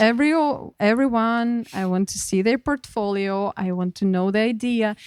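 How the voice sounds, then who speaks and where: A woman with a Ukrainian accent speaks at a moderate pace in a fairly high pitch with ordinary pitch variation, on a very clean recording with a silent background and a dry, close sound with no echo. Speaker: artist and curator. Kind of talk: interview. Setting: studio. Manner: halting.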